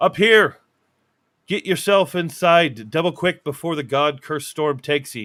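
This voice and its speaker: A man's gruff, put-on character voice, fairly high in pitch, raised and projected to a shout at a moderate pace, on a very clean recording with a silent background. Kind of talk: rough, archaic. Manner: shouting.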